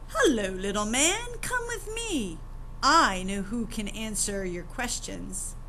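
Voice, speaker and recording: A woman performs a put-on character voice at a fairly slow pace. Background noise is clearly heard. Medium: read story.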